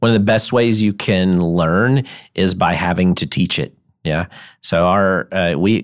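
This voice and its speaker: Over a silent background on a very clean recording, a man with a Memphis accent speaks at a moderate pace, his pitch very deep and low with ordinary variation. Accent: US Southern (Memphis). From Memphis, Tennessee. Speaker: sports medicine doctor. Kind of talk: interview. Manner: halting, with frequent repetitions.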